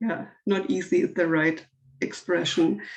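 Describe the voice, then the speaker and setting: A woman speaks fairly slowly at a medium pitch. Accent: non-native. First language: not English. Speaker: workshop participant. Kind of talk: casual chat. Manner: halting.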